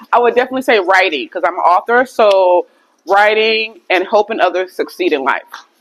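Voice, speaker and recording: An unremarkable speaking voice, this woman talks at a fairly quick pace with an American accent, medium pitch and lively intonation. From Minnesota. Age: 40s. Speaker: author and publisher. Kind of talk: casual interview during workout.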